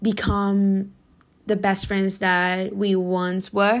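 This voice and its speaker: A woman with a Spanish accent at a very slow pace, on a very clean recording with a silent background. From Spain. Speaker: podcast host. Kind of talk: casual monologue.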